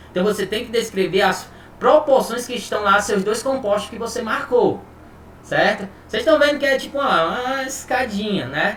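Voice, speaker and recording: A man with an extremely high pitch and ordinary pitch variation, heard with audible room echo and noticeable background noise. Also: moderate pace. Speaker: chemistry teacher. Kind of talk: online lecture. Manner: casual, informal.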